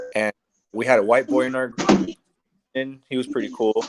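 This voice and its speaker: A man talks at a medium pitch. His intonation stays fairly even. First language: Spanish. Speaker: podcast guest. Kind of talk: casual chat. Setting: live online stream. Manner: halting, repeats words.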